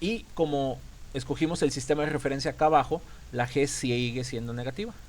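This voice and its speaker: His pitch sits fairly high. The man moves along at a fairly quick pace. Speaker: physics teacher. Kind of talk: lecture. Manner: fast; halting.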